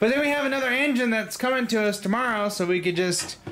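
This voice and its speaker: Over audible room echo, a man speaks at a fairly quick pace with lively intonation. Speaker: home mechanic. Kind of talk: casual chat. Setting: garage. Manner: slurred.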